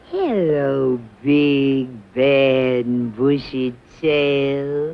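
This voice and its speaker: In a cartoonish character voice, the speaker uses a low-to-middle pitch and a very slow pace. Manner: sassy, theatrical.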